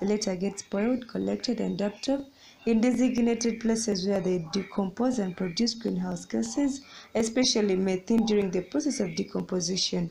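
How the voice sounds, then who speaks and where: In a very clean recording with a silent background, a woman with a dark, mellow tone and vocal fry talks at a medium pitch and a fairly quick pace, her loudness very even and her pitch varying in an ordinary way. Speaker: student competition pitch team member. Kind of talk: competition pitch.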